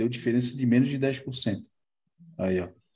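Speaking in a Brazilian accent, a man talks at a fairly quick pace. His pitch is medium and his tone dark and mellow. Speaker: live stream host, marine aquarium hobbyist. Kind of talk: casual chat, live stream. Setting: online live stream.

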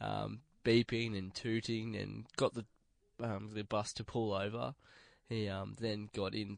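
Against a quiet background, a man talks at a fairly slow pace with a fairly low pitch, fairly even intonation and an Australian accent. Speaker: radio host. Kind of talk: casual chat.

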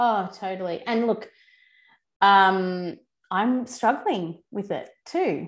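Over a silent background in a very clean recording, a woman speaks at a very slow pace and a medium pitch, with ordinary pitch variation and long, frequent pauses. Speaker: podcast host. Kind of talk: casual interview chat.

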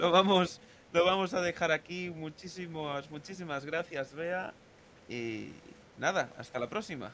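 A man talks fairly slowly in a high voice whose pitch varies in an ordinary way. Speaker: podcast host. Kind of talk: casual chat.

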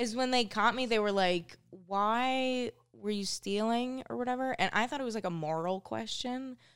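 In an American accent, a woman with an ordinary speaking voice and a fairly high pitch speaks at a moderate pace with ordinary pitch variation. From Minnesota, US. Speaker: stand-up comedian. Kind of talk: casual chat. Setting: studio.

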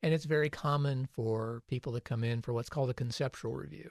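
The man has a medium pitch and a somewhat breathy voice. His intonation stays fairly even over a quiet background. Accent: American. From US Midwest, Ohio (Crawford County). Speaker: city planning administrator. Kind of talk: radio interview.

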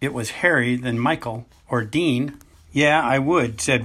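The voice is plain reading aloud. Its pitch variation is ordinary.

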